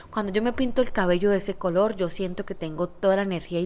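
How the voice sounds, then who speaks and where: Her voice is of medium pitch. The woman moves at a fairly quick pace with ordinary pitch variation. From Colombia, Santander. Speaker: podcaster and entrepreneur. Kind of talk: motivational monologue. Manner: animated.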